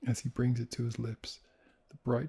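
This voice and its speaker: Soft-spoken and somewhat breathy, a man with a dark, mellow tone talks in a flat monotone, recorded dry and close with no echo. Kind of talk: sleep story.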